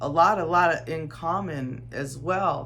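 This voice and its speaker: The speaker has an American accent. Noticeable background noise and audible room echo are present. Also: woman. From Arizona desert, US Southwest. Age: 50s. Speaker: desert lifestyle vlogger. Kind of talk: unscripted personal testimony. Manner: halting, with repetitions.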